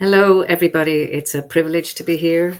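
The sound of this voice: A woman's voice at a moderate pace, with fairly even intonation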